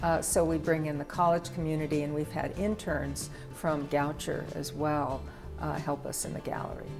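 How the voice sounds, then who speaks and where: Over music in the background, a woman speaks with a very deep, low pitch and fairly even intonation. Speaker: arts center director. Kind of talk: interview answer.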